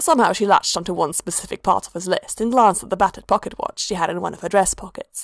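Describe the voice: Ordinary pitch variation in plain reading aloud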